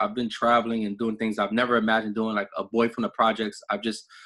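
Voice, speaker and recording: The background is quiet. A man talks at a fairly quick pace in a medium pitch. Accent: New York. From New York City, the Bronx. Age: 30s. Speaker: network marketing director. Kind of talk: motivational talk on a group call. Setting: conference call. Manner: casual, repetitive with fillers.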